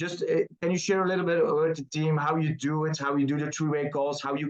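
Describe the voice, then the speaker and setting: A Dutch accent at a fairly quick pace. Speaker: team leader hosting call. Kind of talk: interview. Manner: halting.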